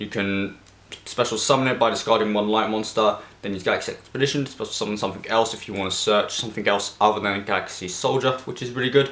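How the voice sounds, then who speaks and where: Against noticeable background noise, a man speaks very fast with fairly even intonation in a fairly low pitch. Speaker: card game content creator. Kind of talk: deck profile tutorial.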